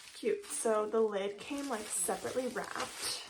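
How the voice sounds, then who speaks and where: Over noticeable background noise and audible room echo, a woman with a fairly high voice speaks at a moderate pace with ordinary pitch variation. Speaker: candle reviewer YouTuber. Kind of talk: unboxing haul video. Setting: home office room. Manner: casual, filler-heavy.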